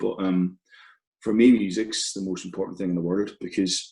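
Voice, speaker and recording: With a Belfast accent, a man talks at a fairly quick pace in a fairly low pitch. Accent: Belfast Northern Irish. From Northern Ireland, Belfast. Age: 30s. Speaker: football podcast co-presenter. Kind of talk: interview conversation. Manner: hesitant, many fillers.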